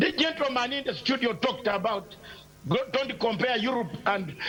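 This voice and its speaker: The intonation is lively, and the pace is moderate. Noticeable background noise sits behind the voice. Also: man. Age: 60s. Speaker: political commentator. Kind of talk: heated debate. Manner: animated.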